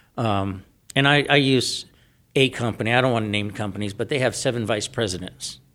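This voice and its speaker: An American-accented man at medium pitch, bright and sharp in tone, fairly quick, with ordinary pitch variation on a very clean recording with a silent background. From San Diego, California. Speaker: solar company owner. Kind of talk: interview.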